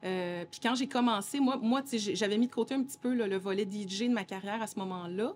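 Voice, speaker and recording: A woman with a plain, everyday voice speaks at a moderate pace, her medium pitch showing ordinary pitch variation. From Montreal, Quebec. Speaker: DJ and singer-songwriter. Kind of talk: casual interview.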